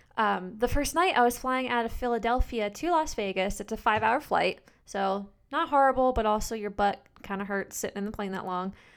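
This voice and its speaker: A woman's an unremarkable speaking voice, fairly high in pitch, with an American accent, ordinary pitch variation and a fairly quick pace. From US East Coast, New Jersey. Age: 20s. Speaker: podcast host. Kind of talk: solo podcast monologue. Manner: casual, filler-heavy.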